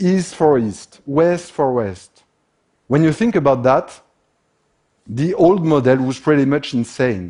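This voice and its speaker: Very slowly and with long, frequent pauses, a man with a French accent speaks at a fairly high pitch in a dark, mellow tone. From France. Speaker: industrial systems expert. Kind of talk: conference talk.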